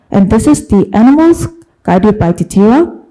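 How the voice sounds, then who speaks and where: A woman with a Korean accent speaks at a moderate pace in a medium pitch, her dark, mellow tone carried by lively intonation. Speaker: academic researcher. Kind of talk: conference presentation. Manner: hesitant, many fillers.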